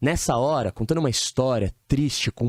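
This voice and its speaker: Recorded very cleanly with a silent background and a dry, close sound with no echo, a man with a plain, everyday voice talks at a moderate pace with lively intonation. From São Paulo, Brazil. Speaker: dating coach. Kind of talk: podcast interview. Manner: casual, uses slang.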